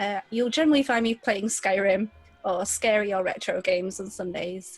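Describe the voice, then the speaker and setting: A woman speaks at a moderate pace with a British accent, her medium-pitched voice showing ordinary pitch variation over music in the background. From UK. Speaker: streamer. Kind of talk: casual group podcast chat.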